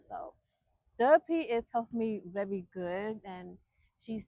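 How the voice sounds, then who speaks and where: A woman speaks at a fairly slow pace in a fairly high voice. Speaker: vlogger. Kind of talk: casual chat. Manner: slow, takes time to speak.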